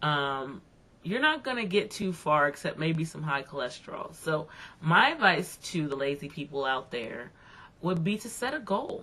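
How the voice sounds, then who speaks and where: Lively intonation marks this woman's speech, which has a fairly low pitch and a moderate pace. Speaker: video blogger. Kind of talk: casual video blog monologue. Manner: conversational, many fillers.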